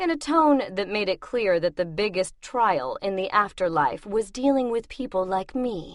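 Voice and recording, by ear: The intonation here is lively. A natural voice reads the text out loud.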